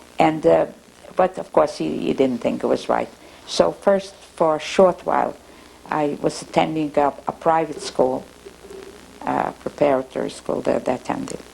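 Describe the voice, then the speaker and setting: A woman talks at a moderate pace while noticeable background noise is present. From Russia. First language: Russian. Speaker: oral history interviewee. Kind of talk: oral history interview. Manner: halting, frequent repetitions.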